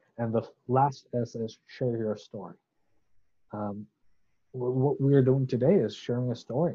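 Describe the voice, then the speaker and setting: Somewhat breathy at a medium pitch, a man speaks at a fairly slow pace with ordinary pitch variation and long, frequent pauses. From Bangladesh (Chittagong). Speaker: ministry founder and seminary student. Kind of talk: casual interview, testimony. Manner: hesitant fillers, some stuttering.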